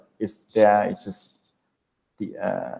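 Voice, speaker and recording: A man speaks at a fairly slow pace and a fairly low pitch. It is a plain, everyday voice. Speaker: university English teacher. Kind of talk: lecture.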